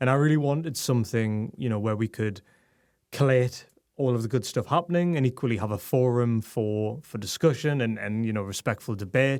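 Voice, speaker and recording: With a Geordie accent, a man talks at a fairly quick pace at medium pitch with ordinary pitch variation, on a very clean recording with a silent background. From northern England, Newcastle. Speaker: tech communications director and writer. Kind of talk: podcast interview. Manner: hesitant, many fillers and repetitions.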